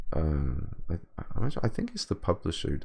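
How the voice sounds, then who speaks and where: The speaker's intonation is lively, and the background is quiet. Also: man. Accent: British. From Britain. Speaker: video game composer. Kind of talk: livestream Q&A. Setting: livestream. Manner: halting, many repetitions and fillers.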